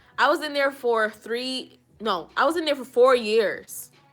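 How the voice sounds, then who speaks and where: Music plays in the background while a woman speaks. Her pitch varies in an ordinary way. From Jamaica (Kingston). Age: 20s. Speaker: hair and lifestyle vlogger. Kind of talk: live stream Q&A chat. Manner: casual, conversational.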